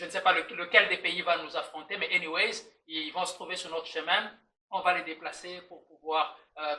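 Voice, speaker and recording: A man with a Swahili accent speaks at a moderate pace in a high pitch. His intonation is monotone and flat, with big swings in loudness. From DR Congo, Lubumbashi. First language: Swahili (speaking French). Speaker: podcast guest, diaspora community member. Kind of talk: casual podcast chat. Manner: halting, many hesitations and repetitions.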